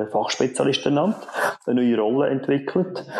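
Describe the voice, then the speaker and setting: The speech keeps a moderate pace while noticeable background noise carries on underneath. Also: man. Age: 40s. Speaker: production manager. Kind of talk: interview.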